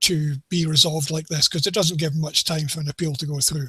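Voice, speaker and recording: This man speaks with a Scottish accent. His pitch sits fairly high. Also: dry, close sound with no echo. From Scotland. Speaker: NFL betting tipster. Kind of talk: casual sports discussion.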